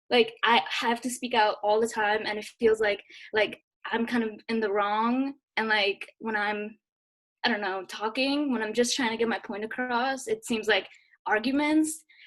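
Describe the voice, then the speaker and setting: Fairly high-pitched female voice, moderately paced, its intonation fairly even. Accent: Nepali. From Nepal. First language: Nepali. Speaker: participant. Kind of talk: video call panel discussion. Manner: halting.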